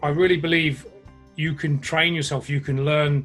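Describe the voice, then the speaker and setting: Music plays behind a man with an English accent and fairly high pitch. He keeps a moderate pace and fairly even intonation. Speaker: online fitness and nutrition coach. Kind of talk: interview answer. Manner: blunt, humorous.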